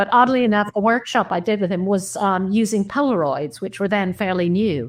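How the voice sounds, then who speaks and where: A woman's medium-pitched voice at a fairly quick pace, with ordinary pitch variation and a quiet background. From New York. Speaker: documentary photographer. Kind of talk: interview. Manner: halting.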